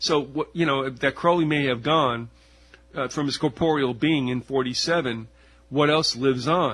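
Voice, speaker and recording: With a plain, everyday voice, a man speaks at a fairly high pitch and a moderate pace, keeping his intonation fairly even. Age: 60s. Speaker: radio host. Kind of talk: interview conversation.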